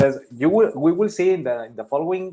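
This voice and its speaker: This voice has a Spanish accent and moves at a fairly quick pace. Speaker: Spanish teacher. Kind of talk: lesson.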